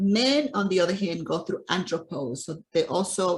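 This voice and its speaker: A woman with a plain, everyday voice speaks at a fairly low pitch, at a moderate pace, with lively intonation. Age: 60s. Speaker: nutrition and fitness coach. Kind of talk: interview.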